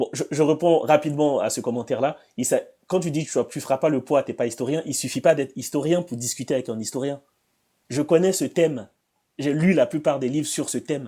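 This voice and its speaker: A man with a dark, mellow tone and a fairly high pitch speaks at a fairly quick pace. His pitch varies in an ordinary way over a very clean recording with a silent background. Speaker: debate streamer reacting to videos. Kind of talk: reaction commentary. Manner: fast.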